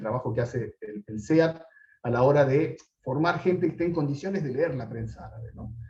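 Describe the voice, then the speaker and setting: A somewhat breathy man talks with lively intonation. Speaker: political scientist lecturer. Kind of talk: lecture. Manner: fast.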